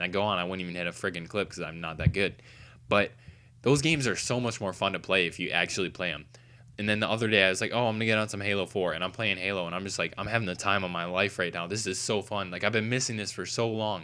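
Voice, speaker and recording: Talking at a very fast pace, a man with a fairly low pitch and ordinary pitch variation has a bright, sharp tone on a very clean recording with a silent background. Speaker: gaming youtuber. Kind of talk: casual vlog rant.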